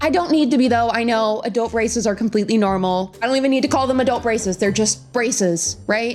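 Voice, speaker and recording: A woman talks at a very fast pace with hardly any pauses and very even loudness. Her pitch is fairly high, and there is noticeable background noise. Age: 20s. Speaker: lifestyle vlogger. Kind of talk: casual talk to camera. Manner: chatty, upbeat.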